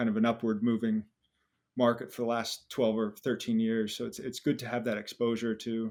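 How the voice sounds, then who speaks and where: A man with a strong American accent at a fairly quick pace, monotone and flat in intonation, on a very clean recording with a silent background. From US. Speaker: personal finance YouTuber. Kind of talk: interview podcast.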